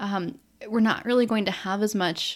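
A woman with a plain, everyday voice, medium pitch, fairly even intonation, and a moderate pace, on a very clean recording with a silent background. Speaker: podcast host. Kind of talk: casual chat. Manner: quieter.

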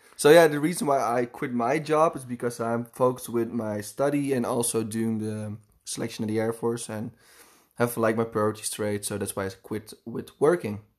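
With a Dutch accent, a man speaks at a moderate pace with ordinary pitch variation. The recording is very clean, with a silent background. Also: medium pitch for a man. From Netherlands, Amsterdam. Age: 20s. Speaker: podcast host. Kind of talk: casual chat. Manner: halting.

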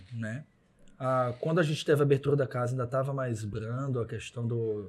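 Over a silent background in a very clean recording, a man talks at a moderate pace in a somewhat breathy voice of medium pitch with fairly even intonation. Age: 40s. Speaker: chef and restaurant owner. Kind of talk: casual interview chat.

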